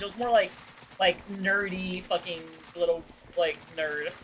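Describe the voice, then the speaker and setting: A woman at medium pitch over noticeable background noise. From Australia. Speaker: vtuber streamer. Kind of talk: casual chat. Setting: livestream. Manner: loud.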